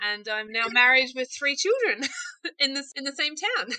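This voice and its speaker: At a moderate pace, a woman talks with a New Zealand accent. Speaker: small business owner, candle maker. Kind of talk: interview, casual chat.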